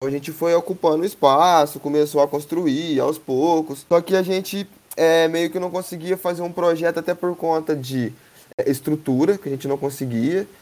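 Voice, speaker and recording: A man's fairly high-pitched, fairly evenly intoned voice at a moderate pace, a normal speaking voice. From Três Pontas, Minas Gerais, Brazil. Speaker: skateboarding community project founder. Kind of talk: casual interview.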